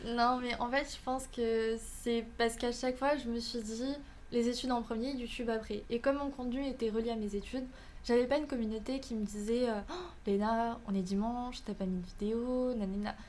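Speaking at a moderate pace with fairly even intonation, a woman with a fairly high pitch comes through audible room echo and noticeable background noise. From Canada. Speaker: student and content creator. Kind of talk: podcast interview.

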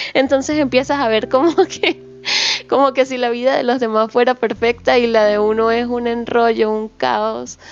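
Noticeable background noise sits behind a woman with a high pitch. She speaks at a moderate pace with fairly even intonation. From small town far from the capital. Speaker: podcast co-host. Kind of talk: casual chat.

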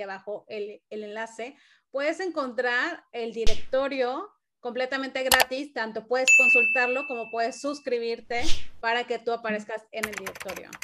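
At a moderate pace, a woman speaks in a high pitch with a bright, sharp tone. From Cancún, Mexico. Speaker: podcast host, marketing consultant. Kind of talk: interview conversation.

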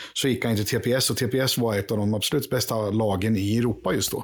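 An unremarkable speaking voice from a man, medium in pitch, at a moderate pace. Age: 50s. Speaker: podcast panelist, longtime supporter. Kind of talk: casual chat.

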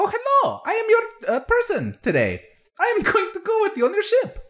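A put-on character voice pitched extremely high. It moves at a moderate pace. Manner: cheerful, polite.

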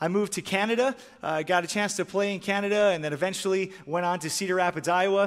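Speaking very fast in a Midwestern American accent, a man with a high pitch is heard on a very clean recording with a silent background. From Michigan. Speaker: former pro hockey player turned sports minister. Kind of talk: chapel talk. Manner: energetic.

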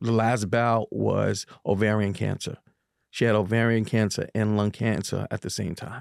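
Monotone, flat intonation in a New York accent at a moderate pace, with a dry, close sound with no echo. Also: man. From New York, Harlem. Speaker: community advocate and youth basketball coach. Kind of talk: casual interview. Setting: studio.

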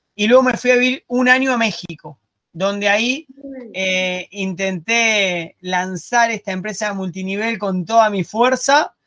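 A raised, projected voice with a Rioplatense accent, bright and sharp in tone, at a fairly slow pace with ordinary pitch variation and a dry, close sound with no echo. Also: man, high pitch for a man. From Argentina. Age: 40s. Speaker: digital marketing entrepreneur. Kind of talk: interview.

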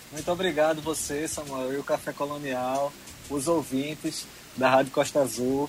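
A man with a fairly high voice talks at a moderate pace, his intonation monotone and flat. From Pernambuco, Brazil (Arcoverde). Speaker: singer-songwriter. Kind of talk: interview. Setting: online remote interview.

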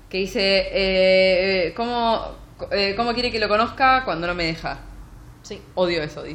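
A woman speaks at a fairly slow pace in a medium pitch, with ordinary pitch variation and audible room echo. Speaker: book podcast co-host. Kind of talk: casual chat.

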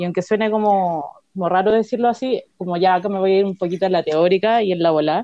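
At a very fast pace, a woman talks at a medium pitch. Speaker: social anthropologist. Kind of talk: casual chat.

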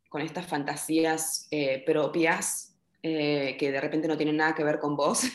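A woman with a Rioplatense accent speaks at a fairly slow pace. Her very deep, low voice has a monotone, flat intonation. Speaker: psychologist working with migrants. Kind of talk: casual chat.

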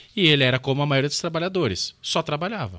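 A man talks very fast in a bright, sharp tone, captured in a very clean recording with a silent background and a dry, close sound with no echo. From Brazil. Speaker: economist, political candidate. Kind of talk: casual interview chat.

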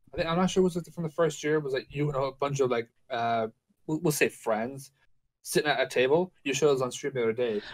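A man with an Irish accent talks at a very fast pace, his pitch varying in an ordinary way. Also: fairly high pitch for a man. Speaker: podcast co-host. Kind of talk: casual chat. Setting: video call.

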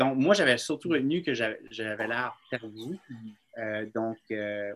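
A man's medium-pitched voice, with ordinary pitch variation, moves at a very slow pace. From New Brunswick, Bathurst (Acadia). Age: 30s. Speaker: filmmaker and author. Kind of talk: casual chat.

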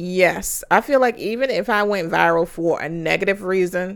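An ordinary speaking voice from a woman at fairly low pitch and moderate pace, on a very clean recording with a silent background. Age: 30s. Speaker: podcast co-host. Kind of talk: casual chat.

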